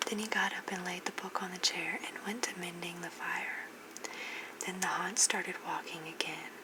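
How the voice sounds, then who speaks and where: A woman's whisper, gentle in tone and at a moderate pace, over noticeable background noise. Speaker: ASMR creator reading bedtime stories. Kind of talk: scary story reading, bedtime narration. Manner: gentle, whispered.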